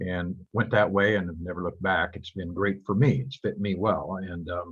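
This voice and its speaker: Speaking at a moderate pace with fairly even intonation, a man with an American accent has a very deep, low pitch and a somewhat breathy voice. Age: 70s. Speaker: real estate broker. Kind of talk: guest talk to students on video call.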